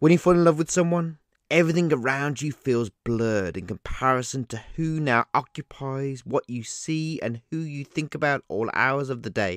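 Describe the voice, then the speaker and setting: Recorded dry and close with no echo, a man with a plain, everyday voice talks at a moderate pace, his fairly high pitch showing ordinary variation. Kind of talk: spoken word poem. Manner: measured, rhythmic, reflective.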